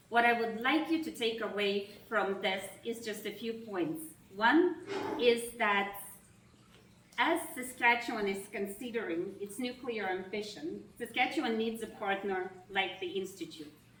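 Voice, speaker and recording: A woman speaks in a Russian accent at a fairly slow pace. Her fairly high voice has lively intonation, with audible room echo. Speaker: nonprofit executive. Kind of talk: opening remarks speech. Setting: reception event with audience. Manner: formal.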